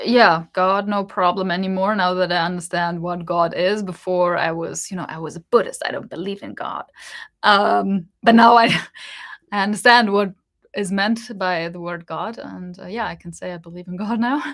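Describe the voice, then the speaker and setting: On a very clean recording with a silent background, a woman talks at a moderate pace. Her medium-pitched voice shows big swings in loudness. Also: fairly even intonation. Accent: German. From Germany. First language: German. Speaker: spiritual YouTuber. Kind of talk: casual livestream Q&A.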